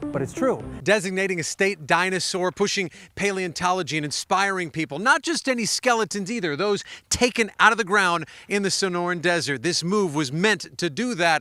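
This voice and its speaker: A man's raised, projected voice with an American accent, high in pitch, bright and sharp, with lively intonation at a fairly quick pace, in a very clean recording with a silent background. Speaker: news anchor. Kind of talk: television news anchor delivery.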